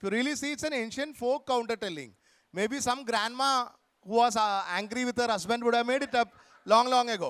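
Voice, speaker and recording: A man speaks loudly at a fairly quick pace. His pitch is extremely high, with ordinary variation. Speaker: author. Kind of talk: literary festival conversation.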